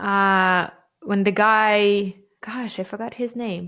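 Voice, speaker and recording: A fairly high-pitched woman with a Ukrainian accent, on a very clean recording with a silent background. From Ukraine. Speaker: marketing podcast co-host. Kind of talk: casual chat.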